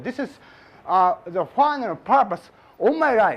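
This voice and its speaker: A man with a Japanese accent at an extremely high pitch, with very wide pitch swings. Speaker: physics professor. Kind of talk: lecture. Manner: halting; slow.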